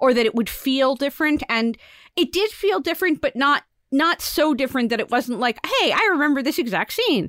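Dry and close with no echo, on a very clean recording with a silent background, a woman speaks fairly quickly at a high pitch with very wide pitch swings. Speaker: podcast co-host. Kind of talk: casual chat podcast.

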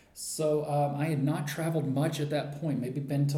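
A man with an American accent speaks at a moderate pace and medium pitch. Music plays in the background, and room echo is audible. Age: 40s. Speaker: writer and traveler. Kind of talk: interview. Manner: halting, with many fillers.

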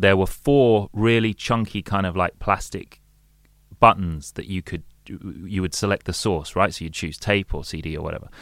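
A man's fairly low voice, with ordinary pitch variation, comes through in a very clean recording against a silent background. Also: moderate pace. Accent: London. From London, England. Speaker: DJ and radio presenter. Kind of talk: casual chat.

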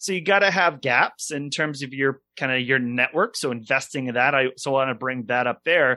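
Medium in pitch, a man talks at a moderate speed, his pitch varying in an ordinary way. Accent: American. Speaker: financial advisor and podcast host. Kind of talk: podcast interview. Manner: halting, many repetitions and fillers.

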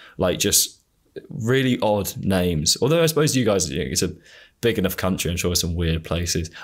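On a very clean recording with a silent background, a man with an English accent speaks very fast in a very deep, low voice. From England. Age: 20s. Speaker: podcast host. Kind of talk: casual interview conversation. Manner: halting, many fillers.

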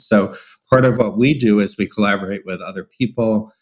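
Fairly quick and fairly even in intonation, a man talks in an ordinary speaking voice at medium pitch. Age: 60s. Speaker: psychology professor and researcher. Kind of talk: interview conversation.

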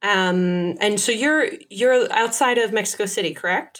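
This woman has a plain, everyday voice, fairly high in pitch, with ordinary pitch variation. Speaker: podcast host. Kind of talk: casual interview.

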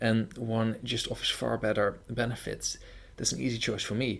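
This man talks at a moderate pace in a medium pitch with a Dutch accent. His voice has vocal fry. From Netherlands. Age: 20s. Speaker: podcast host. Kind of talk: interview.

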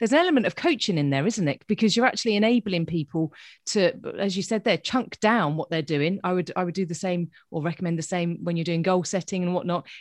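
A woman with a British accent, animated and enthusiastic, at a very fast pace and medium pitch, with ordinary pitch variation, a quiet background and a dry, close sound with no echo. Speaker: podcast host and coach. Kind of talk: casual interview chat. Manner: animated, enthusiastic.

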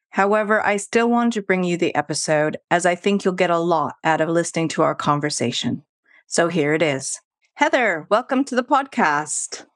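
With a Canadian accent, a woman with an unremarkable speaking voice talks at a moderate pace, her fairly low pitch moving in lively intonation. The very clean recording has a silent background and a dry, close sound with no echo. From Canada, Vancouver. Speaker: podcast host. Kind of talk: interview.

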